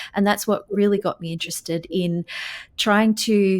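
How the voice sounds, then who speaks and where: The voice carries an Australian accent and ordinary pitch variation at a moderate pace. The sound is dry and close, with no echo. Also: woman. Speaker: physical therapy researcher and journal editor. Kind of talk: podcast interview.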